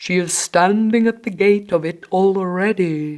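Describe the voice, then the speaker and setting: A put-on character voice that sounds female, pitched in the middle. It moves at a fairly slow pace. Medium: read story.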